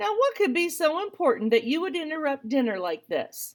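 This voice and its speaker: A squeaky, put-on character voice from a woman, extremely high in pitch, with very wide pitch swings at a fairly quick pace. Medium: read story. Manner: brusque, weary.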